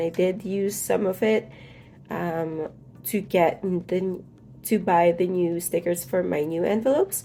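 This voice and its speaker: With music in the background, a woman of fairly low pitch speaks at a fairly slow pace using ordinary pitch variation. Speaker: budgeting YouTuber. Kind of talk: casual talk to camera.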